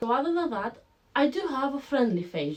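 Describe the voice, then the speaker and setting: Pitch swings very widely throughout, over noticeable background noise. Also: woman. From Greece. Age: 20s. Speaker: online business vlogger. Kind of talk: casual vlog to camera. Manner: animated.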